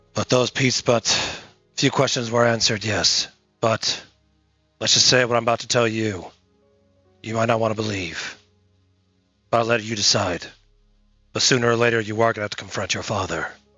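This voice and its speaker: With faint music in the background, a man in a raspy put-on character voice of medium pitch speaks at a fairly quick pace, leaving long, frequent pauses. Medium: audio drama. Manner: measured, hesitant, grave.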